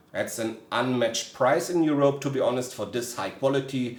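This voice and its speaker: A man with a German accent at medium pitch and ordinary pitch variation, amid audible room echo and noticeable background noise. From Germany. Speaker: gaming gear reviewer. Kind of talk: product review. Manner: hesitant, frequent filler sounds.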